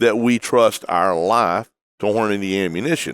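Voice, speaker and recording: The sound is dry and close with no echo as a voice with a Texan accent speaks at a fairly slow pace with ordinary pitch variation. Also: man. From Texas. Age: 60s. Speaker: hunting outfitter and TV host. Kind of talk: interview. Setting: trade show convention.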